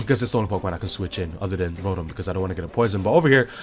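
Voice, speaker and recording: A man's fairly low voice with ordinary pitch variation, music playing in the background. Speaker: Pokemon battle commentator. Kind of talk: casual gameplay commentary.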